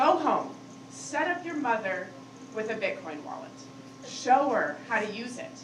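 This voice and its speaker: A high-pitched woman with very wide pitch swings, big swings in loudness, a fairly slow pace and long, frequent pauses, amid noticeable background noise and audible room echo. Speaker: conference speaker. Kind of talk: conference talk. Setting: stage with audience. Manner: casual, filler-heavy.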